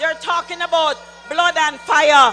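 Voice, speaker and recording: An animated tone comes through over music playing in the background. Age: 60s. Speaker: political speaker. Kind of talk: political rally speech.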